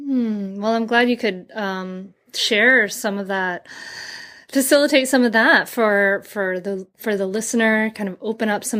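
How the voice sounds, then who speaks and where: On a very clean recording with a silent background, a woman speaks with an enthusiastic, bright, sharp tone at a fairly high pitch with ordinary pitch variation. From Rhode Island (Bristol). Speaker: podcast host. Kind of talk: interview.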